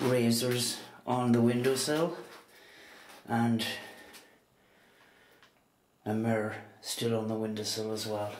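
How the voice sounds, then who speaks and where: A man's very slow, fairly even delivery with long, frequent pauses, audible room echo and light background noise. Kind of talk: casual walkthrough commentary. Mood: quiet, amazed. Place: home room. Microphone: phone near.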